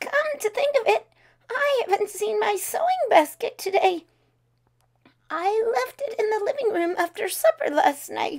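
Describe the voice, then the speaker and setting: A woman's put-on character voice, extremely high in pitch, with long, frequent pauses. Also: moderate pace. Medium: read story.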